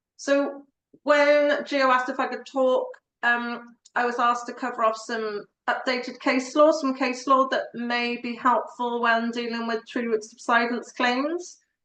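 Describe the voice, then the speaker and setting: High pitch from a woman with a slight Welsh accent, bright, sharp tone, fairly slow pace and monotone, flat intonation. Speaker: tree law solicitor. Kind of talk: presentation.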